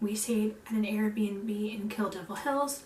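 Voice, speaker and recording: A woman speaks at a fairly slow pace and fairly high pitch. Audible room echo and noticeable background noise surround her. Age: 20s. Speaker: stay-at-home mom and vlogger. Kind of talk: casual vlog chat.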